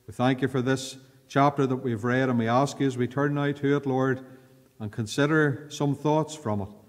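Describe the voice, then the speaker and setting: The speaker has a Northern Irish accent and a fairly quick pace over a quiet background. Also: man. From Northern Ireland. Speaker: pastor. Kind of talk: fervent prayer in church, then Bible study sermon. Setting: church. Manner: earnest, formal, pleading tone in prayer; measured, pausing often with repeated 'Lord'. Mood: calm, earnest. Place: church. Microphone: podium.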